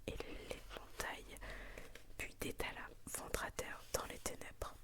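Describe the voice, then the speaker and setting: Whispering very slowly, a woman can be heard over noticeable background noise. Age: 20s. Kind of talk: ASMR bedtime story reading. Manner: whispered.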